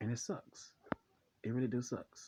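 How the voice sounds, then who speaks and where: The voice is a man's. It sounds somewhat breathy. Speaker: vlogger. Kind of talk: personal vlog monologue. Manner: fast; halting, many repetitions.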